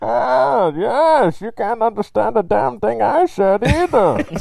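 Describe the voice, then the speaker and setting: A put-on character voice at a middle pitch and fairly slow pace, with light background noise. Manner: sarcastic, mocking.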